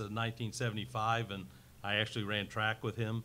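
A man's voice in a monotone, with flat intonation. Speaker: board member giving report. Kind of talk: meeting report. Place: meeting room.

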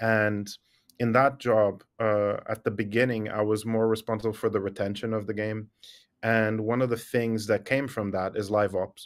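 A man speaks at a moderate pace with a fairly low pitch and flat, monotone intonation against a quiet background. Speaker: remote podcast guest. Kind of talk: interview answer. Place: office.

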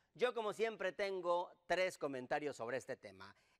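In a quiet background, a man with a high pitch speaks fairly slowly in an animated tone. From Mexico. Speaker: political satire show host. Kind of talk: comedic monologue. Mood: sarcastic, joking. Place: studio.

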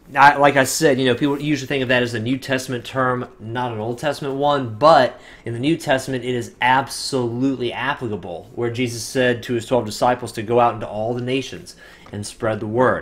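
Keeping a fairly quick pace, a man speaks with fairly even intonation. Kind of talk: casual vlog chat about faith. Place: home room. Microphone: webcam.

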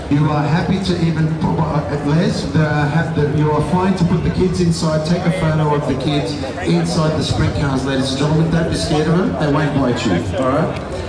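Spoken at a moderate pace with ordinary pitch variation, the voice carries audible room echo over loud background noise. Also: man. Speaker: event announcer. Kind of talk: public announcement. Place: street.

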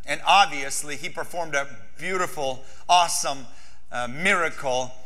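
A man talks fairly slowly. Behind him the background is quiet. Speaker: pastor. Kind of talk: sermon. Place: church. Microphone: lapel.

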